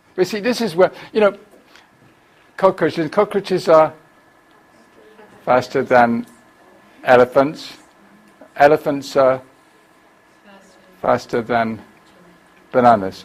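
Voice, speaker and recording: With a British accent, a man speaks at a fairly high pitch and a fairly slow pace, his pitch swinging very widely between long, frequent pauses. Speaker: teacher trainer, conference presenter. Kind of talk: workshop presentation. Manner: animated.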